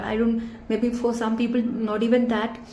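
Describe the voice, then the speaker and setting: A woman's fairly high-pitched voice, with noticeable background noise and audible room echo. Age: 20s. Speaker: vlogger. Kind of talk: vlog review. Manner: hesitant, casual.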